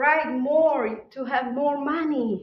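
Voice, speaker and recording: A woman with a Czech accent speaks at a high pitch amid audible room echo. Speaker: conference speaker. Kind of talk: conference talk.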